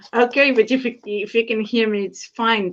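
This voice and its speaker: Over a quiet background, a woman with a Portuguese accent speaks at a fairly high pitch with fairly even intonation. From Portugal. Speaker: flight attendant and etiquette course graduate. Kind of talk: testimony. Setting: video call. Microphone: unstable connection, frozen video.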